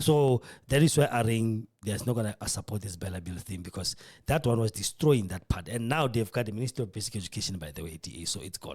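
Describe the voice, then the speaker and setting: A man's very fast, somewhat breathy speech at a fairly low pitch, with lively intonation and big swings in loudness, on a very clean recording with a silent background. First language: not English. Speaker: podcast host. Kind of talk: political commentary. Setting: radio studio.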